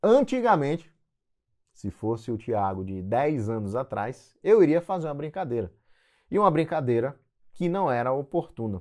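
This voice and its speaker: A man's fairly high-pitched voice with very wide pitch swings at a moderate pace, in a very clean recording with a silent background. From Northeast Brazil, João Pessoa, Paraíba. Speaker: anesthesiologist and medical educator. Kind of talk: casual advice talk to camera.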